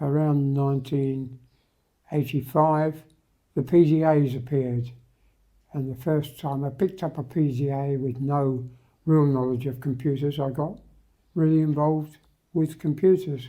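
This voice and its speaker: A man with a British accent speaks at a fairly slow pace and a fairly high pitch, his dark, mellow tone and fairly even intonation broken by long, frequent pauses, on a very clean recording with a silent background. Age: 80s+. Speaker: retired marine engineer and IT entrepreneur. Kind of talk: interview. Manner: halting.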